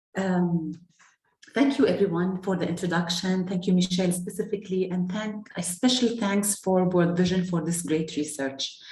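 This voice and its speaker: At a moderate pace, a woman speaks in a somewhat breathy voice with a medium pitch and ordinary pitch variation. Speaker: NGO program manager. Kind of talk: panel presentation. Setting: video call.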